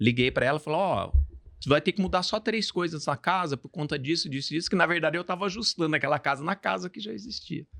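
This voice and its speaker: Speaking very fast in a Mato Grosso accent, a man uses high pitch, lively intonation and a bright, sharp tone, captured in a very clean, dry, close recording with no echo and a silent background. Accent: Mato Grosso accent, noticeable. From Brazil, Mato Grosso (born São Paulo). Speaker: construction company owner. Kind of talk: podcast interview. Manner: casual, storytelling.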